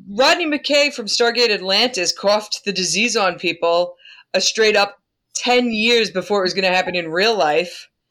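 A woman with a Long Island accent speaks at a moderate pace and a medium pitch, her tone bright and sharp with lively intonation. The recording is very clean, with a silent background. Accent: Long Island New York. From US Northeast, Long Island. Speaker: podcast co-host. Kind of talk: casual chat. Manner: animated.

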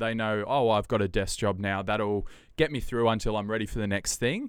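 A man speaks in a fairly low pitch. He has an Australian accent. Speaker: podcast host and TV presenter. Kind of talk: casual chat. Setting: video call. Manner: animated.

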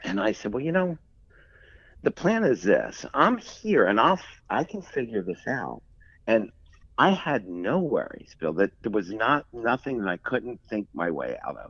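Over a quiet background, a man with an American accent talks at a fairly slow pace. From Philadelphia, US. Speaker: textile industry executive. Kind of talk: interview.

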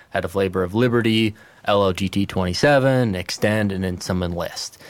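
A man talks at a fairly quick pace in an ordinary speaking voice, pitched fairly low with fairly even intonation. The recording is very clean with a silent background. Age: 20s. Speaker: agronomy seed manager. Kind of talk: casual chat.

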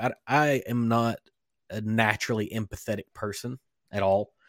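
Dry and close with no echo, a man talks in a plain, everyday voice at medium pitch with fairly even intonation. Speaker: podcast host. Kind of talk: casual chat. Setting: home studio, live streamed.

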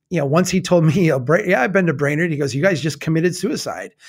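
A man with a Minnesota accent and fairly high pitch, in a very clean recording with a silent background. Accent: Minnesota Midwestern. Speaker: nonprofit founder. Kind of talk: casual chat. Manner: laughing, friendly.

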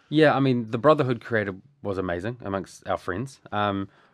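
With a New Zealand accent, the speaker talks at a moderate pace with lively intonation on a very clean recording with a silent background. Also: man. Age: 30s. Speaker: bereaved brother and business owner. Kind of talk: personal interview about grief. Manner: halting, many repeated words and fillers.

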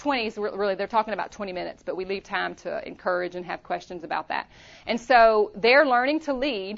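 A woman talks at a fairly quick pace with a Louisiana accent. Her voice sits fairly high and has lively intonation. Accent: Southern US (Louisiana). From Louisiana, US South. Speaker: women's ministry leader, pastor's wife. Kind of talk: conference workshop talk. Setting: stage with audience.

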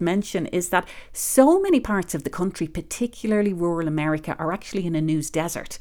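In an Irish accent, a woman with a fairly low, dark, mellow voice talks at a fairly quick pace with lively intonation, in a very clean recording with a silent background. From Ireland. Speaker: public radio managing editor. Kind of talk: interview.

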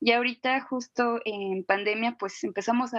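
A woman with an ordinary speaking voice at a moderate pace, a fairly high pitch and ordinary pitch variation. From Guadalajara, Mexico. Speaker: musician. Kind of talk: interview.

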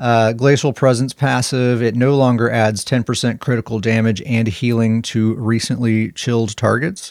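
Against a silent background on a very clean recording, a man speaks in an ordinary speaking voice at medium pitch. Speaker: gaming podcast co-host. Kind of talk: casual chat.

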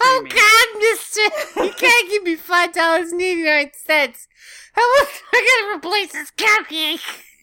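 In a put-on character voice, the speaker shouts in a whiny way at an extremely high pitch and a very slow pace. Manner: screaming, whiny.

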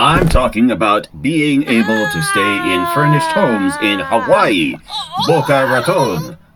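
A man adopts a put-on character voice, pitched fairly high and delivered at a moderate pace. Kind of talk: pushy sales pitch. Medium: audio drama.

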